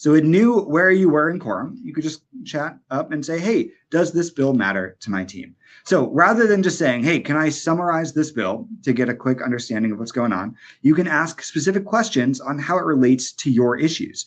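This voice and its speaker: Loud and fairly high pitched, a man speaks at a moderate pace with very wide pitch swings against a quiet background. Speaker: webinar presenter. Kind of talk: product demo webinar. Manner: casual, filler-heavy.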